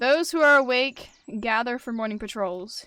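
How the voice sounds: A woman uses a put-on character voice, high-pitched, growling and raised, projected. She keeps a moderate pace on a very clean recording with a silent background.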